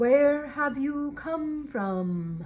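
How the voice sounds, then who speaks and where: Using a put-on character voice, a woman speaks high-pitched with very wide pitch swings. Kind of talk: regal.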